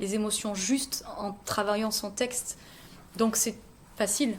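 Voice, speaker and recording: A woman's fairly high voice, fairly even in intonation, at a fairly slow pace. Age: 30s. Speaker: singer. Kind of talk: interview. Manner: hesitant.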